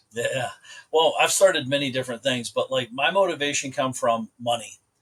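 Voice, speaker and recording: An American accent at a moderate pace, with ordinary pitch variation. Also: man, fairly high pitch for a man. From US Midwest, rural Ohio. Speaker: entrepreneur. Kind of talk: podcast interview. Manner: casual, conversational.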